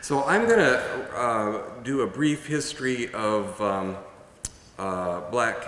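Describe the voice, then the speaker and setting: With audible room echo, the speaker goes at a very slow pace and uses ordinary pitch variation. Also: man. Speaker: event moderator. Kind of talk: public speaking. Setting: stage with audience. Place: hall. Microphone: podium.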